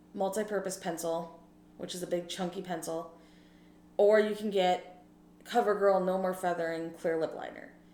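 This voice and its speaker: Amid noticeable background noise and audible room echo, a woman speaks at a fairly slow pace in a medium pitch, her intonation monotone and flat. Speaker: beauty vlogger with low vision. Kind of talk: casual makeup tutorial. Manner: casual, chatty.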